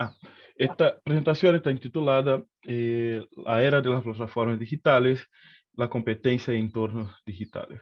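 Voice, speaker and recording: At a fairly slow pace, a man with a Brazilian accent talks at a medium pitch with ordinary pitch variation. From Brazil, Rio de Janeiro. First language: Portuguese (speaking Spanish). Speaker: economist. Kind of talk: lecture. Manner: hesitant, with many fillers.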